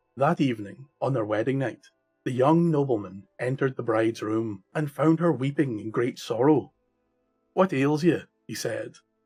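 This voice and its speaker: A man speaks at a moderate pace with a Scottish accent. Music plays in the background. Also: medium pitch for a man, ordinary pitch variation. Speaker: storyteller. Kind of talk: folk tale narration.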